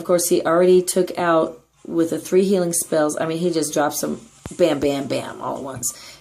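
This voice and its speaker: Her voice is fairly low, with a dark, mellow tone. The woman keeps a moderate pace and fairly even intonation. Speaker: gaming tutorial host. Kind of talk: tutorial.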